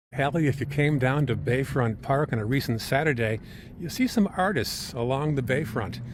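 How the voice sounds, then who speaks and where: Over noticeable background noise, a man talks at a moderate pace in a medium pitch, with ordinary pitch variation. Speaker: news reporter. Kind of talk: field reporter segment.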